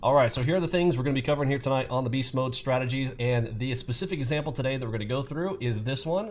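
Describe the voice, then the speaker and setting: A man talks at a very fast pace with hardly any pauses, a somewhat breathy sound, and ordinary pitch variation. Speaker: trading educator. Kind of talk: tutorial.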